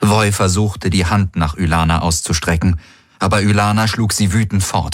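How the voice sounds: A reader with a natural reading voice.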